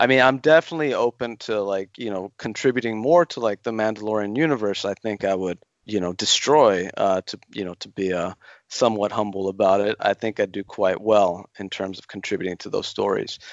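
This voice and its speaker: A man with an unremarkable speaking voice talks at a fairly quick pace and fairly low pitch. His pitch variation is ordinary, and his loudness swings widely. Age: 40s. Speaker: Star Wars writer. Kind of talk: interview.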